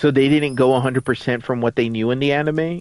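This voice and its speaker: A man speaks in an unremarkable speaking voice with a fairly high pitch and fairly even intonation. The sound is dry and close, with no echo. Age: 30s. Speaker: gaming streamer. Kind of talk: casual chat. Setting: live stream.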